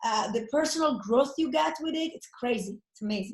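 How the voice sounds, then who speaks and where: With very wide pitch swings, a woman talks at a moderate speed. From Italy. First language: Italian. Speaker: network marketer. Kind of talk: interview. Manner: animated.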